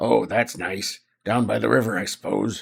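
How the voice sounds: Using a put-on character voice, a man speaks gravelly and raspy at a fairly low pitch and a moderate pace, with very wide pitch swings.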